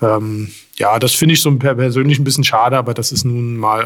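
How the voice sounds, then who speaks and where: Fairly quick, fairly even speech from a man at medium pitch. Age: 40s. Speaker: police chief. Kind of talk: interview. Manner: hesitant, many filler sounds.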